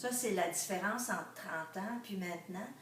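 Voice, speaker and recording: Amid noticeable background noise and audible room echo, a woman speaks at a medium pitch and a fairly slow pace. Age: 60s. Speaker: retiree. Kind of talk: interview. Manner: hesitant, many fillers.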